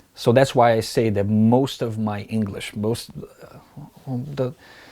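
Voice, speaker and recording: A man's medium-pitched voice, dark and mellow, at a fairly slow pace, with a Brazilian Portuguese accent. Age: 30s. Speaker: pool technician. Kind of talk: interview answer.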